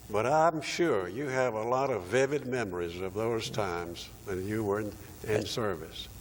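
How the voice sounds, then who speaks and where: With lively intonation, an unremarkable speaking voice proceeds fairly slowly. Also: man. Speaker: interviewer. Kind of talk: oral history interview questions.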